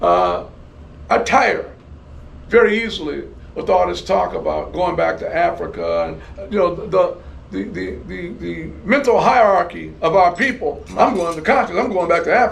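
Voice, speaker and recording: A man with an American accent talks at a moderate pace. Room echo is audible around his voice. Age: 70s. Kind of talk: interview. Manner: repetitive, halting restarts.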